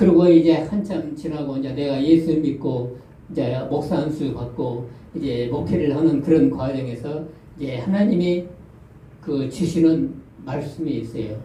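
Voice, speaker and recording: A fairly high-pitched man at a fairly slow pace, ordinary pitch variation and audible room echo. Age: 70s. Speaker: retired pastor. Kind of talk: testimony.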